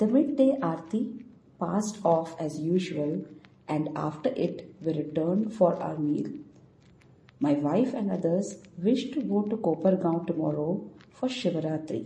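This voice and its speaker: Her fairly low voice has a dark, mellow tone and is somewhat breathy. The woman speaks at a fairly slow pace with very wide pitch swings. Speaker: audio narrator. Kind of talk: reading aloud a 1912 diary entry, devotional narration. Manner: measured, reverent, steady; formal, clear, even pace.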